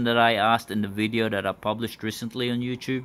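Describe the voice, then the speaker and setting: Speaking very fast, a man keeps a monotone, flat delivery. His pitch is medium. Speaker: kayak fishing YouTuber. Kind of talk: casual announcement to camera. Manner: loud, projecting. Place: home room. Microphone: phone near.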